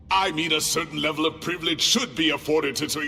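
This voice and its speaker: Over clear background noise, someone delivers a put-on character voice at a very fast pace. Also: man, fairly high pitch for a man. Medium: video game.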